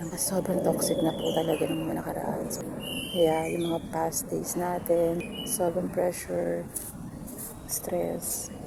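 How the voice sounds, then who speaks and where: A soft-spoken woman talks in a room with audible echo and noticeable background noise. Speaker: family vlogger. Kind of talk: casual vlog talk. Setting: outdoors. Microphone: no microphone.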